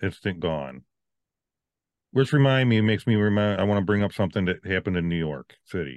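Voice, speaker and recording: A man talks at a very fast pace with a fairly low pitch and lively intonation. He has an American accent, and the sound is dry and close with no echo. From Virginia. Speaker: podcast co-host. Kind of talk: casual chat.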